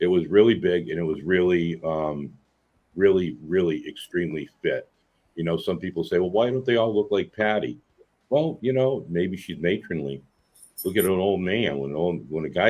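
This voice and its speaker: This man's voice sits very deep and low in pitch, with ordinary pitch variation and a moderate pace. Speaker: eyewitness guest. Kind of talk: interview.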